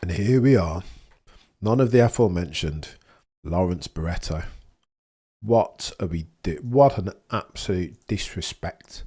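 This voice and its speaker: Fairly low in pitch, a man with a Birmingham accent speaks fairly slowly with lively intonation and long, frequent pauses, on a very clean recording with a silent background. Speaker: F1 livestream watchalong host. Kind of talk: casual live-stream chat. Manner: animated; halting, repeats words.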